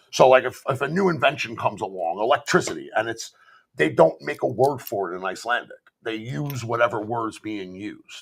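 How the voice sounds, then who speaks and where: A man with a strong Bronx accent talks at a fairly quick pace in an animated tone, his medium pitch carried by lively intonation. His loudness swings widely. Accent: thick Bronx. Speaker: author and modern paganism content creator. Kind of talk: casual chat. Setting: live stream.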